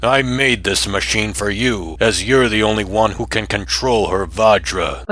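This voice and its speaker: Over noticeable background noise, a man puts on a character voice, speaking at a fairly low pitch and a moderate pace with hardly any pauses. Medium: fan dub. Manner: condescending, controlling.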